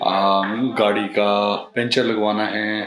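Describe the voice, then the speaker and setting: Over noticeable background noise and audible room echo, a man speaks in a fairly low pitch. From India. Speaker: travel vlogger. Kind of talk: travel vlog. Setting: airport and in flight; at home. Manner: hesitant, many fillers.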